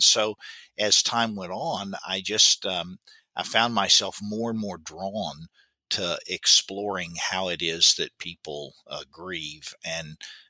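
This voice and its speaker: A fairly low-pitched man with a Southern US accent and a bright, sharp tone, ordinary pitch variation and big swings in loudness, in a very clean, dry, close recording with a silent background and no echo. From US South, Baton Rouge, Louisiana. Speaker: grief expert, professor. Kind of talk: interview. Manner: halting, many fillers.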